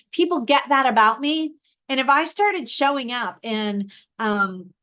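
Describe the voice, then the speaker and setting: With a raised, projected voice, a woman speaks at a fairly slow pace in a high, bright, sharp tone with lively intonation. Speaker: live show host and communication coach. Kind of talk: live stream teaching talk. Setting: live stream. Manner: loud.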